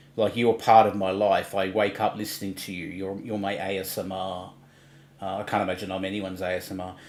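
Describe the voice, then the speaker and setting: A man in a rural Australian accent talks at a fairly low pitch and a fairly quick pace. His intonation is monotone and flat. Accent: broad rural Australian. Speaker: livestream co-host. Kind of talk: casual chat.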